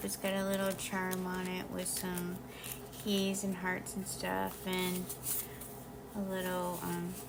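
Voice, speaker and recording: A woman speaks at medium pitch and a very slow pace. Noticeable background noise and audible room echo surround her. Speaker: crafting video creator. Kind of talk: casual show-and-tell tutorial. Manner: hesitant, many fillers.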